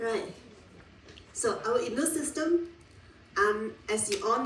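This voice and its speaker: A loud woman speaks with very wide pitch swings. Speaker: university lecturer. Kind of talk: lecture.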